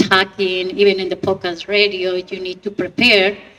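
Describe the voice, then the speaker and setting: A woman is speaking. She has a non-native accent. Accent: foreign. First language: not English. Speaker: actress and podcast radio host. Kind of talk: panel Q&A.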